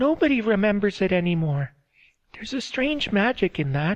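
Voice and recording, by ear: In a quiet setting, a voice reads aloud naturally.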